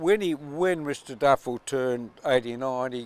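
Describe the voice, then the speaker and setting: Here a man talks at a fairly slow pace. His pitch is medium and he has an Australian accent. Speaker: yacht owner and sailor. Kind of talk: interview answer, storytelling. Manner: passionate.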